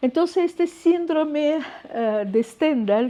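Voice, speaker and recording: A woman with a Russian accent speaks in a dark, mellow tone. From Russia, Moscow. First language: Russian (speaking Spanish). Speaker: scientist. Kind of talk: lecture. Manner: hesitant, with fillers.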